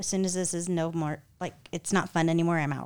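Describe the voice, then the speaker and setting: A woman with a fairly low pitch and an unremarkable speaking voice talks at a fairly quick pace on a very clean recording with a silent background. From California. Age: 40s. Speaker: event planner and marketing director. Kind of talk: casual chat.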